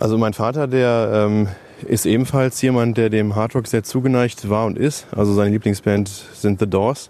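Here a man with an ordinary speaking voice talks at a moderate pace and medium pitch, with very even loudness and fairly even intonation. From Germany, Lower Rhine (Neukirchen-Vluyn). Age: 30s. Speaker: metal festival organiser and video editor. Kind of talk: interview. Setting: outdoors.

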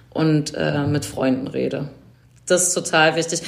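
Fairly low female voice, its pitch varying in an ordinary way. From Berlin, Germany. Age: 40s. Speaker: event production manager and volunteer coordinator. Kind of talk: interview. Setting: video call.

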